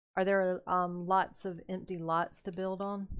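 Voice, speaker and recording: At a fairly slow pace, a woman talks at a medium pitch. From US South, North Carolina. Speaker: gaming streamer. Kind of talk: casual live-stream commentary. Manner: animated.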